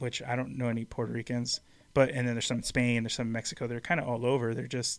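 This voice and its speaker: In a very clean recording with a silent background, a man with a plain, everyday voice talks at medium pitch with fairly even intonation. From USA, Mexican-American. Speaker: podcast co-host. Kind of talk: casual chat on live show. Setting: live-streamed podcast.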